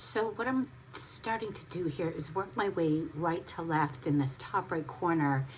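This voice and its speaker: Fairly slow and somewhat breathy, a woman's speech carries lively intonation. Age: 60s. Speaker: home renovation vlogger. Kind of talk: casual DIY vlog narration. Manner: casual, hesitant with fillers.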